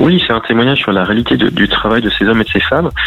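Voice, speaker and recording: A man speaks with a fairly low pitch and ordinary pitch variation. Noticeable background noise runs under his voice. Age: 40s. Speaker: gendarmerie officer and author. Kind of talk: radio interview. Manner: halting, with many fillers and repetitions.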